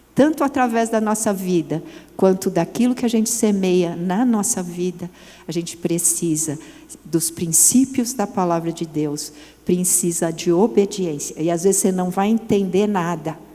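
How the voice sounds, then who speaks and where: At a fairly slow pace, a woman speaks in a dark, mellow tone with lively intonation. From Brazil, São Paulo. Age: 60s. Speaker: women's ministry speaker. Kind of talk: sermon. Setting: church event with audience.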